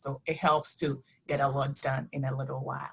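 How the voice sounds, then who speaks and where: In a non-native accent, a woman speaks with a very deep, low pitch. Her voice is somewhat breathy. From immigrant, country not named. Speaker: author. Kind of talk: virtual panel talk. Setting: video call.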